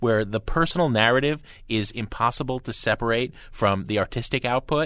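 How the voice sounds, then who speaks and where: A man with an American accent has an ordinary speaking voice at medium pitch and lively intonation. The recording is very clean, with a silent background. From New Jersey (Hoboken). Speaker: pop music critic and radio co-host. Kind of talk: radio talk show interview and album reviews.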